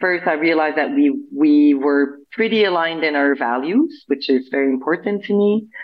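Her pitch very deep and low, a woman speaks with lively intonation. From Montreal, Canada. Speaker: perfumer and brand founder. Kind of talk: interview.

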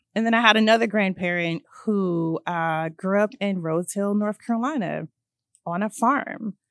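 Woman in a Virginia accent, medium pitch, ordinary pitch variation, moderate pace, dry close sound with no echo, very clean recording and silent background. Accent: American English (Virginia). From central Virginia (Hanover County). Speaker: environmental justice organizer. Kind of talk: casual chat. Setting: studio.

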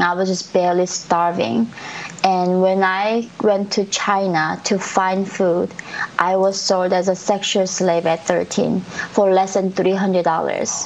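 Against noticeable background noise, a woman with a Korean accent speaks fairly slowly at a medium pitch, her intonation fairly even. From North Korea. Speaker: defector and activist. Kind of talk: interview.

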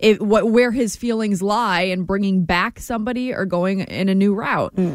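An unremarkable speaking voice from a woman, medium in pitch and fairly quick. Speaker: sports update anchor. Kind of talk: news reading. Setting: radio studio.

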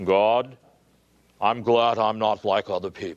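A man uses a put-on character voice with fairly low pitch. His pace is fairly slow. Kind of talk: preacherly, sermonizing. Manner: pompous, sanctimonious.

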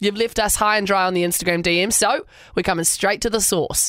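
On a very clean recording with a silent background, a woman speaks fairly quickly at a medium pitch with ordinary pitch variation. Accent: New Zealand. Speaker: radio host. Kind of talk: casual chat.

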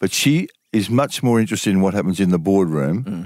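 With an Australian accent, a man speaks at a moderate pace and a very deep, low pitch. His intonation is lively. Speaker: veteran sports journalist. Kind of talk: casual chat.

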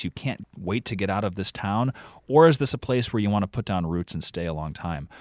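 A man has an ordinary speaking voice, with a fairly low pitch and lively intonation at a fairly quick pace. The recording is very clean with a silent background, and the sound is dry and close with no echo. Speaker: podcast co-host reporting on accents. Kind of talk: interview.

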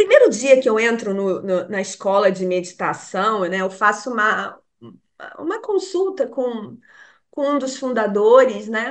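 This woman has a plain, everyday voice, a fairly high pitch and lively intonation, and she speaks at a fairly slow pace. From Brazil, Rio de Janeiro. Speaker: meditation teacher. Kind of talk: casual interview.

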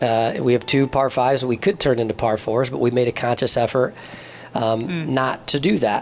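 With an American accent, a man talks at a medium pitch with ordinary pitch variation. Noticeable background noise runs behind him. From southern Michigan, US. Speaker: golf tournament executive. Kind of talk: interview. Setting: golf club.

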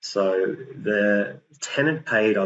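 A man's fairly low voice with an Australian accent and ordinary pitch variation. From New South Wales Central Coast, Australia. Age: 50s. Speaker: property investor. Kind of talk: interview. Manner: halting, many fillers and repetitions.

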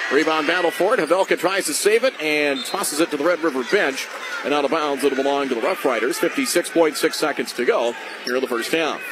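A man talks at a fairly quick pace in a fairly high pitch, with noticeable background noise behind him. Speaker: radio play-by-play announcer. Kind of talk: live sports commentary. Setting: radio broadcast from the arena. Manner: fast, rapid-fire play-by-play.

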